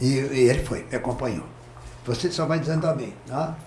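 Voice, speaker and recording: Against noticeable background noise and audible room echo, a man speaks at a fairly quick pace and a fairly high pitch. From southern Brazil (Rio Grande do Sul). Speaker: pastor. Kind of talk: sermon. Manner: animated.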